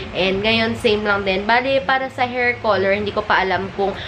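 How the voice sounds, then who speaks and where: A woman talks at a fairly quick pace, her pitch in the medium range. Noticeable background noise and audible room echo are present. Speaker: vlogger. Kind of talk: casual vlog. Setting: hair salon.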